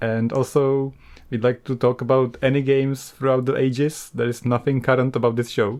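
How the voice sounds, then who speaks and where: A man speaks in an ordinary speaking voice at a medium pitch and a moderate pace. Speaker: podcast host. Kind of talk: casual chat.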